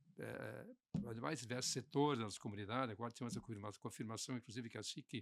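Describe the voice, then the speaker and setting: Talking at a very fast pace, a man shows vocal fry and ordinary pitch variation. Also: medium pitch for a man. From southern Brazil, Santa Catarina (Concórdia area). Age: 80s+. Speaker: business association leader. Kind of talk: podcast interview. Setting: studio.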